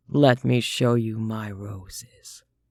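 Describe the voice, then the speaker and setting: Putting on a character voice, a man speaks at medium pitch with fairly even intonation. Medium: read story. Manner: slow, formal, courtly.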